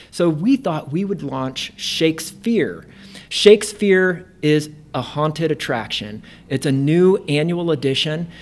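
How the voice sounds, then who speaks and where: With an American accent, a man talks at a fairly slow pace in an unremarkable speaking voice, his fairly high pitch carried by lively intonation. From Indiana. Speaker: theater artistic director. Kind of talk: casual interview. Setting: in person at guest's workplace.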